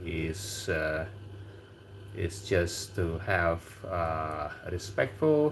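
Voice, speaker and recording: With an Indonesian accent, a man speaks in a very deep, low pitch. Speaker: livestream host. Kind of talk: casual livestream chat.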